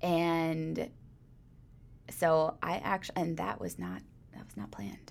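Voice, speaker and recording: A woman with a fairly low pitch and very wide pitch swings, at a very slow pace with long, frequent pauses and big swings in loudness. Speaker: church worship team singer. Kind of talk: casual chat.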